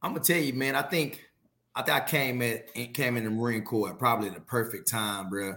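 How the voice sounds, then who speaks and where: Speaking at a fairly quick pace, a man has a bright, sharp tone and ordinary pitch variation. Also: medium pitch for a man. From Texas, Fort Worth. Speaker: retired Marine, war veteran. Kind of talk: casual chat. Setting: video call. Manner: animated.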